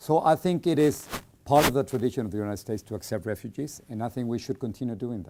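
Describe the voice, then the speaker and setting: A man with a Spanish accent at a very fast pace, medium pitch, dark, mellow tone, lively intonation and big swings in loudness. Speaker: journalist. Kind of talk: interview.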